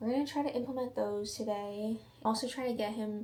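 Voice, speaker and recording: Fairly even intonation comes through audible room echo and noticeable background noise. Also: woman. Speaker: vlogger. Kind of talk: casual vlog talk. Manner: quiet.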